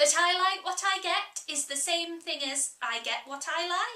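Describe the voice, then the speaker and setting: Using a put-on character voice, a woman speaks at a fairly slow pace with ordinary pitch variation. Her voice is squeaky and extremely high. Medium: read story. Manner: contrary, teasing.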